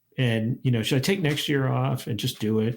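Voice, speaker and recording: A man talking fairly quickly with ordinary pitch variation. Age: 60s. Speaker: historian, professor and hiking podcast host. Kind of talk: casual interview chat. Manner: halting, many fillers and restarts.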